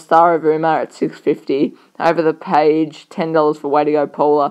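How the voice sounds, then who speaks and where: The speaker is a woman with an Australian accent. Nothing much stirs in the quiet background. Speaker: horse racing tipster. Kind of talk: racing preview commentary.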